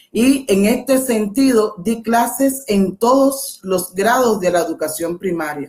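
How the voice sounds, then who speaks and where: A woman with a Cuban accent speaks at a very slow pace. Her intonation is lively. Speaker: education professor. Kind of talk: lecture.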